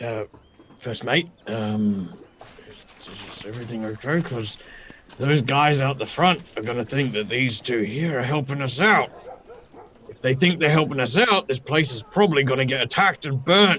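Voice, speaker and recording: Putting on a raspy character voice, a man talks at a medium pitch and a moderate pace, with long, frequent pauses. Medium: actual play.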